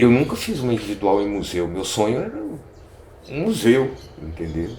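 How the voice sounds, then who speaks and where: Fairly low-pitched, a man speaks at a fairly slow pace. There is audible room echo and noticeable background noise. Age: 60s. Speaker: photographer. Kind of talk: documentary interview. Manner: casual, hesitant with fillers.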